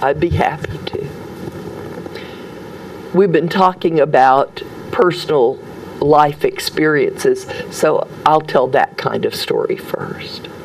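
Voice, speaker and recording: Speaking with a Southern US accent, a woman goes at a very slow pace with long, frequent pauses as noticeable background noise sits behind her. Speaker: storyteller. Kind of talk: interview answer.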